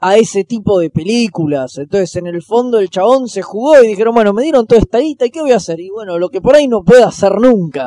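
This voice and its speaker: A man with a Rioplatense accent talks fairly quickly in a high voice with lively intonation, the sound dry and close with no echo. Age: 30s. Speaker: podcast host. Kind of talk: casual chat.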